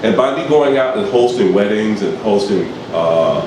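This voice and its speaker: With a New York accent, a man speaks at a moderate pace and ordinary pitch variation amid noticeable background noise and audible room echo. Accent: New York City. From New York, East Harlem. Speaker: former radio director and voice actor. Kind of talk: interview. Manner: halting.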